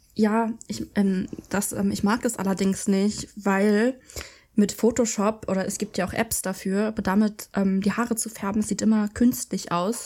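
In a very clean recording with a silent background, a woman speaks at a medium pitch in a dark, mellow tone with monotone, flat intonation. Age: 20s. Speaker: podcast co-host. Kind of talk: casual chat.

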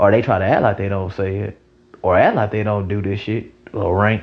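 Somewhat breathy and fairly low in pitch, a man speaks at a fairly quick pace. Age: 20s. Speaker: podcast host. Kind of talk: casual monologue. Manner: animated.

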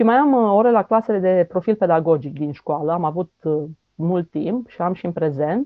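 Speaking at a moderate pace, this woman has a plain, everyday voice, fairly low in pitch, with lively intonation. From Romania, Făgăraș region. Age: 40s. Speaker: teacher. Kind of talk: interview.

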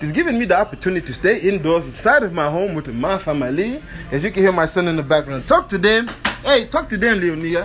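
An animated man talks at a very fast pace in a high voice. Music plays in the background. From Angola. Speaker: podcast host. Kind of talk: casual chat; motivational speech. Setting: at home.

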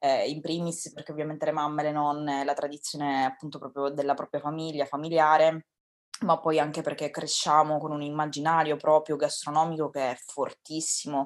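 This woman's pitch is very deep and low. She speaks at a moderate pace with monotone, flat intonation. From Sicily, Ragusa. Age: 20s. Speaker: restaurant front-of-house worker. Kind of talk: interview.

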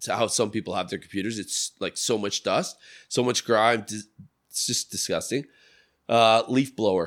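On a very clean recording with a silent background, a man speaks at a moderate pace with a medium pitch and fairly even intonation. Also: dry, close sound with no echo. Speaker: podcast co-host. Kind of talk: casual chat. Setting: studio. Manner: loud.

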